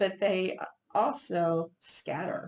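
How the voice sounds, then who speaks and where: This woman speaks with an Oklahoma accent at a fairly low pitch. Vocal fry runs through her voice. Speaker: Bible teacher. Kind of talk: Bible study teaching. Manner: halting, with false starts.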